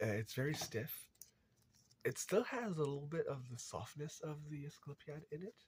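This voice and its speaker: A man talks at a moderate pace and a fairly high pitch. His intonation is lively and his voice somewhat breathy. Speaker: crafter, video creator. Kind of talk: tutorial demonstration. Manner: halting, many fillers.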